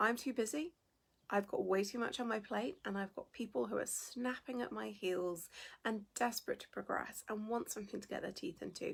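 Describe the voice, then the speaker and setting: Lively intonation runs through this woman's somewhat breathy voice. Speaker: business founder and coach. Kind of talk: livestream talk. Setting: livestream video.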